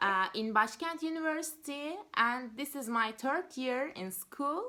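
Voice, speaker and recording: Speaking fairly slowly with a Turkish accent, a woman uses a raised, projected, high-pitched voice with lively intonation and a bright, sharp tone. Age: 20s. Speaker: university student. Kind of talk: job interview. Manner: halting.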